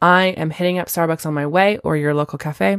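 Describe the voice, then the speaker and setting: A woman with a plain, everyday voice, recorded dry and close with no echo, very clean against a silent background. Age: 30s. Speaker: podcast host and teacher. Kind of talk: casual solo podcast talk.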